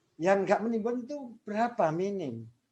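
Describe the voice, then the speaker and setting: The speaker is a man. He keeps a moderate pace. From Java, Indonesia (father from Bantul Yogyakarta, mother Kediri). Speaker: law lecturer. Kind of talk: lecture.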